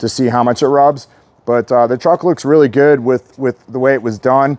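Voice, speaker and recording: A man speaks at a moderate pace with monotone, flat intonation in a dry sound with no echo. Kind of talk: casual product walkaround. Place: street.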